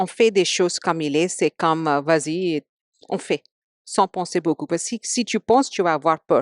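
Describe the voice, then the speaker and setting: In an Indian accent, a woman speaks at a fairly slow pace with lively intonation, the sound dry and close with no echo against a quiet background. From India, Mumbai. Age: 40s. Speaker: podcast guest. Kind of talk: casual interview chat. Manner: halting, many hesitations.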